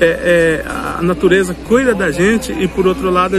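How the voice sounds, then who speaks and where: Noticeable background noise and audible room echo around a man's high-pitched voice, at a moderate pace with ordinary pitch variation. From Mato Grosso do Sul, Brazil (Guarani village). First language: Guarani (speaking Portuguese). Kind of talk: interview. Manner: hesitant, with repetitions.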